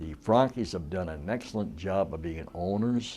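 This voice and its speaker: With a very deep, low pitch, a dark, mellow tone and vocal fry, a man speaks at a moderate pace with lively intonation. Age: 80s. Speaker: retired hockey player. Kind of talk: interview.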